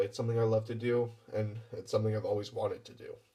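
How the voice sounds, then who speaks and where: Talking at a very fast pace, a man with a medium pitch sounds somewhat breathy, with a dark, mellow tone. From western Canada, small town. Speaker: actor. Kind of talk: audition application talk to camera. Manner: words run together.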